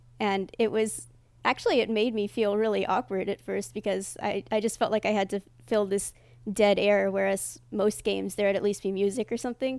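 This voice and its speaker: A woman talks at a fairly quick pace in a medium pitch, her intonation monotone and flat. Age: 20s. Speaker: Twitch streamer. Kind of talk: casual interview.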